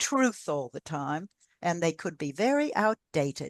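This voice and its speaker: A woman speaks at a fairly slow pace and a fairly low pitch, with very wide pitch swings. The sound is dry and close with no echo, and the background is quiet. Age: 80s+. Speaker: author and speaker on health and aging. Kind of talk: podcast interview.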